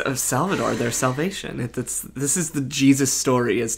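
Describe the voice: The text is plainly read aloud with fairly even intonation.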